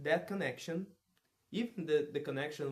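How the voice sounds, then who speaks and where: The speaker is a man. He has a Portuguese accent. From Brazil. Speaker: vlogger practicing English. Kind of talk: casual monologue vlog. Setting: alone at his parents' home. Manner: halting, many restarts and repetitions; loud.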